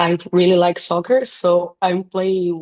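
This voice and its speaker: A woman with a Portuguese accent speaks at a very slow pace in a dark, mellow tone. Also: dry, close sound with no echo. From Brazil. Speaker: chiropractor. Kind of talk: interview. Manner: halting.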